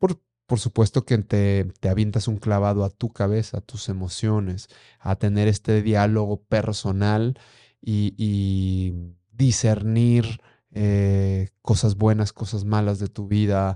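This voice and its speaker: A man's fairly low pitch and dark, mellow tone, in a monotone, flat intonation at a very slow pace, with a dry, close sound with no echo and a quiet background. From Durango, northern Mexico. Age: 30s. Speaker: blind mountaineer and ultramarathon runner. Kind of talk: interview testimony.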